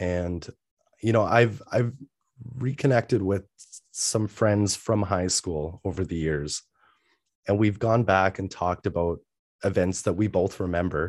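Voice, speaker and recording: Against a quiet background, a man speaks at a fairly slow pace with a very deep, low pitch and ordinary pitch variation. He leaves long, frequent pauses. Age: 30s. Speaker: mental health business owner and podcast host. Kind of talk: interview. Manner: hesitant, many fillers.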